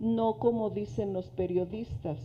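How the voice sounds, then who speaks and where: A woman with a medium pitch delivers her words at a very slow pace. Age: 70s. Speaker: audience member. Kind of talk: audience question/comment. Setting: museum talk with live audience.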